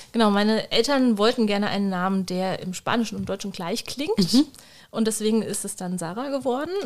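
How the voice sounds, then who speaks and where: A woman's unremarkable speaking voice, fairly high in pitch. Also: ordinary pitch variation. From Germany. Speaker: bookshop owner. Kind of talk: casual chat.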